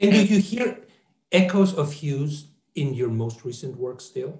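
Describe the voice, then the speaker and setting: Somewhat breathy and lively in intonation, a man talks at a fairly slow pace with audible room echo. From Mexico. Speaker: professor and interviewer; professor, interviewer. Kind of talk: interview. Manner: halting. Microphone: earbuds.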